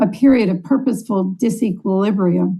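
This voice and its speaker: A woman at a moderate pace, somewhat breathy, with a dark, mellow tone. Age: old. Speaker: congregation board leader. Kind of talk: floor speech at assembly.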